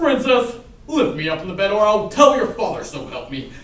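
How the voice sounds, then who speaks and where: Using a put-on character voice, a man speaks at a high pitch with a slight echo. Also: moderate pace. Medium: stage play. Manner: polite yet cheeky.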